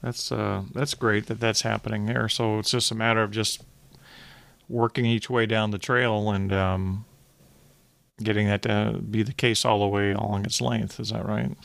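A man with an American accent has a plain, everyday voice at a fairly low pitch, with ordinary pitch variation and a moderate pace on a very clean recording with a silent background. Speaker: podcast host. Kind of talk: interview.

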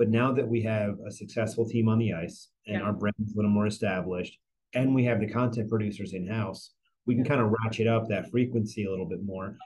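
A man's fairly low, somewhat breathy voice at a very fast pace, with fairly even intonation. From northern New Jersey. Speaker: sports marketing executive. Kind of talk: interview.

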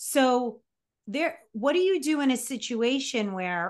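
Here is a woman with a plain, everyday voice. She talks at a fairly slow pace with lively intonation. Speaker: podcast co-host. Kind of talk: casual chat.

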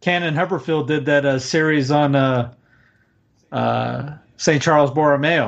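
With a Southern US accent, a man speaks at a moderate pace in a fairly high voice, his loudness very even. He leaves long, frequent pauses. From US South. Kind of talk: casual conversation on livestream. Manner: animated.

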